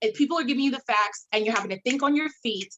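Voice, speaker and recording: The voice has an animated tone with ordinary pitch variation. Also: woman. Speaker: attorney. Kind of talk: panel presentation. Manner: fast.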